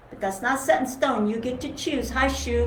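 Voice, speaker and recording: A woman is speaking. Audible room echo and noticeable background noise fill the recording. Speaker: cello teacher. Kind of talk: live online music lesson.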